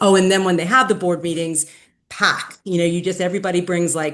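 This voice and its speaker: A woman with an unremarkable speaking voice talks at a fairly low pitch with fairly even intonation. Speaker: activist. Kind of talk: meeting presentation and discussion. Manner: casual, filler-heavy.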